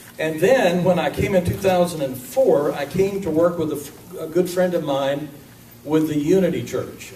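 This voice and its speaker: Moderate-paced speech from a man with a fairly high voice and ordinary pitch variation, with audible room echo and noticeable background noise. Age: 50s. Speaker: minister. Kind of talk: sermon. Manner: casual, conversational.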